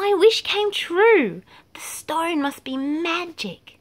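A squeaky, put-on character voice at an extremely high pitch. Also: very slow pace. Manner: excited.

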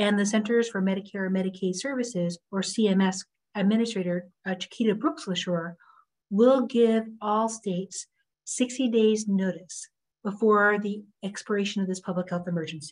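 Somewhat breathy, a woman speaks at a moderate pace with ordinary pitch variation over a quiet background. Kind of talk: prepared remarks to stakeholders. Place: office. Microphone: video call.

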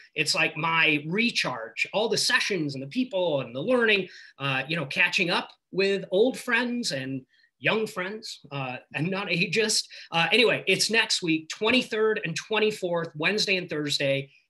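A man speaks in a raised, projected voice at a fairly slow pace, his bright, sharp tone carried by lively intonation over a quiet background. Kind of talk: announcement on a group call. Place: home room. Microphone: video call.

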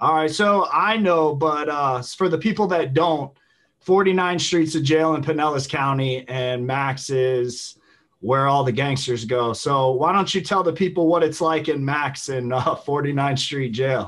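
Over a quiet background, a man with an American accent talks at a fairly slow pace, his fairly high pitch showing ordinary variation. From Tampa Bay area, Florida; Florida. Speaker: YouTube host, former prisoner; podcast host interviewer. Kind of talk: casual interview. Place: home room. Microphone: video call.

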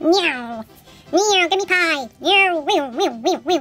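Speaking very slowly, a woman puts on a squeaky character voice at an extremely high pitch. Faint music and clear background noise play behind her. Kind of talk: playful toy voice acting. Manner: cartoonish, demanding.

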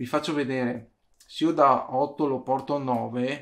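The man's voice is fairly high in pitch. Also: very clean recording, silent background. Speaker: YouTuber, DIY 3D printing maker. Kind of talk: tutorial. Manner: casual, with frequent hesitations.

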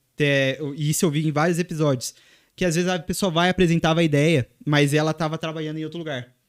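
Recorded very cleanly against a silent background with a dry, close sound and no echo, a man talks very fast in a fairly high pitch with fairly even intonation. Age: 20s. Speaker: football content creator. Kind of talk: casual interview chat.

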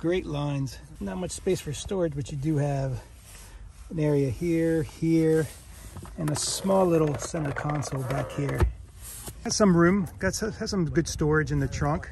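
A man speaks at a fairly slow pace in a dry, echo-free sound, with noticeable background noise. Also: ordinary pitch variation. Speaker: car vlogger. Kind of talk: casual vlog chat. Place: street.

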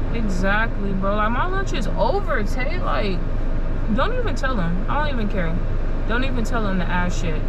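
Loud background noise sits behind the voice. A woman talks at a moderate pace. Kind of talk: casual complaining banter. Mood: annoyed, hungry, teasing. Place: car. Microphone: camera far.

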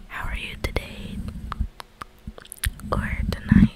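A soft-spoken woman's whisper at a very slow pace. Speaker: ASMR creator. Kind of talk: casual ASMR vlog chat. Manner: soft close whisper. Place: home room. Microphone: studio mic.

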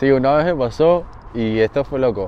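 A man with a Lara Venezuelan accent speaks with lively intonation over noticeable background noise. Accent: Venezuelan (Lara) accent kept. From Venezuela, Barquisimeto, Lara state. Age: 20s. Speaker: baseball player. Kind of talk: interview.

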